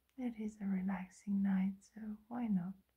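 Against a quiet background, a woman speaks at a very slow pace in a dark, mellow, somewhat breathy tone. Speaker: hypnosis role-play host. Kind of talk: soft relaxation roleplay talk. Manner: soft, hushed ASMR voice. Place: home room. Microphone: phone near.

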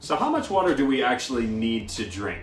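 There is audible room echo and faint music in the background as a man speaks. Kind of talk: informational talk to camera. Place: kitchen.

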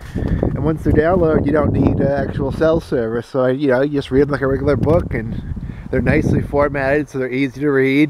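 Over loud background noise, a man talks at a fairly quick pace with a fairly high pitch. His intonation is monotone and flat, and the sound is dry with no echo. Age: 40s. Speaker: vlogger. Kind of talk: casual vlog monologue. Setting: outdoors at a campsite. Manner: rambling with many fillers. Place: forest. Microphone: phone near.

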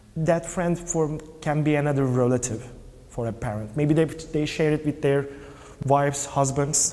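The speaker uses a Turkish accent, fairly even intonation and a moderate pace. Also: man. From Turkey. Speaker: film producer and LGBT parents' activist. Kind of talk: interview. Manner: halting. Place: hall. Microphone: lapel.

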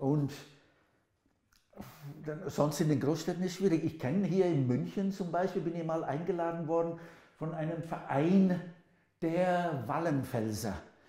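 A man speaks in a high pitch with a dark, mellow tone and ordinary pitch variation, pausing long and often, with audible room echo over a quiet background. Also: fairly slow pace. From England. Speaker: linguist, professor. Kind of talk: interview answer. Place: kitchen. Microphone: lapel.

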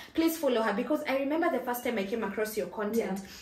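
Audible room echo surrounds a woman speaking at a high pitch with lively intonation. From Kenya. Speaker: YouTuber, personal finance channel host. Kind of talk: casual interview chat. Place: home room.

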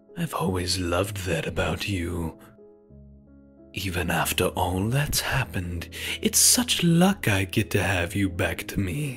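A put-on character voice, fairly bright in tone, slow-paced with lively intonation over faint music in the background. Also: man, low pitch for a man.

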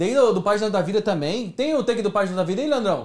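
An animated tone from a man with very wide pitch swings. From Brazil. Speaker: talk show host. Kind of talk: live talk show. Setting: studio, livestream. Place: studio.

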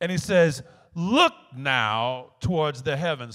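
The background stays quiet. Against it, a man talks very slowly. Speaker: pastor. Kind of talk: sermon. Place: church. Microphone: handheld.

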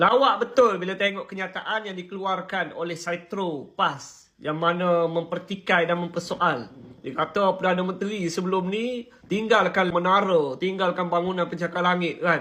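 This man's voice has a bright, sharp tone and a high pitch, moving at a moderate pace with fairly even intonation and hardly any pauses. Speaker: political commentator. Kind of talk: political commentary monologue.

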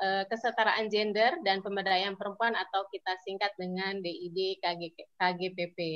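Using an ordinary speaking voice, a woman talks at a medium pitch and moderate pace with fairly even intonation. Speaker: civil society policy advocate. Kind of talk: online webinar presentation. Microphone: weak signal connection.

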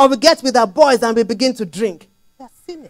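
Against a quiet background, a woman talks at a fairly quick pace with a high pitch and lively intonation. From Nigeria (Lagos). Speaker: preacher. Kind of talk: sermon. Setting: church. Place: church. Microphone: handheld.

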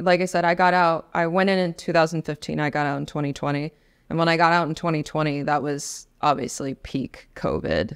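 A woman reads at a moderate pace, her intonation fairly even, with quiet in the background. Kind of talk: interview answer. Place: studio. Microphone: studio mic.

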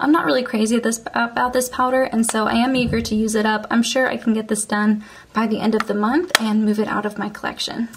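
A woman at a fairly high pitch keeps a moderate pace with ordinary pitch variation as noticeable background noise carries on behind her. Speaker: beauty vlogger. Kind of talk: casual chat. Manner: friendly, conversational.

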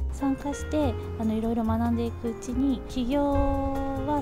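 Moderate-paced speech over clear music in the background. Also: woman. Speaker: garden coordinator who started her own business. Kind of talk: interview answer. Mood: calm, friendly. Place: garden.

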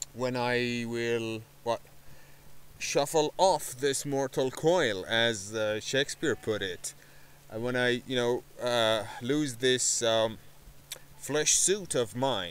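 Here a man speaks at a very slow pace. The sound is dry with no echo. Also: ordinary pitch variation. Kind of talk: casual vlog chat. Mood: calm, reflective. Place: garden. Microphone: phone near.

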